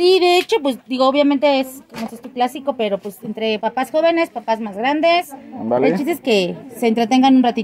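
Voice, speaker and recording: A woman talks at a moderate pace with hardly any pauses, her high voice full of lively intonation. Light background noise sits behind her. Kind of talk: casual product explanation. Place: shop. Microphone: phone near.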